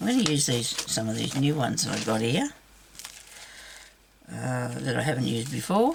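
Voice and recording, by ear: A woman speaks at a moderate pace in an extremely low pitch with big pitch swings, her voice croaky and raspy with vocal fry and a slightly husky edge.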